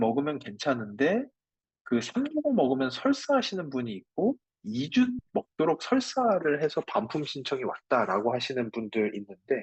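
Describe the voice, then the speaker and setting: A man with a plain, everyday voice, a fairly high pitch and a fairly slow pace. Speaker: microbiome researcher lecturing on products. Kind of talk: lecture with live chat Q&A. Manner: conversational with fillers.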